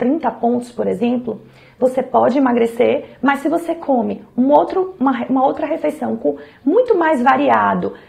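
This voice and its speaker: A woman talks in a high voice, with noticeable background noise behind her. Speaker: nutrition professional. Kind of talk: health advice talk to camera.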